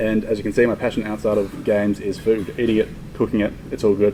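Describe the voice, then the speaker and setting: A man with an Australian accent talks at a very fast pace in a fairly low pitch. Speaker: indie game developer. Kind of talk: conference talk. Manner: quiet.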